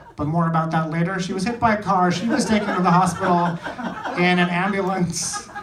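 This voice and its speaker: Noticeable background noise and audible room echo fill the recording. A man with a high pitch talks at a moderate pace. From India. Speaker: stand-up comedian. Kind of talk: stand-up. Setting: stage with audience.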